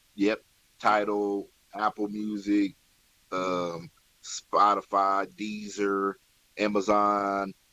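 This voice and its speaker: A man's bright, sharp voice comes across dry and close with no echo, in a flat monotone. He talks at a very slow pace and pauses long and often. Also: fairly low pitch for a man. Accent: Midwestern US. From Kansas, Wichita area (316). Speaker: hip-hop artist. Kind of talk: radio interview.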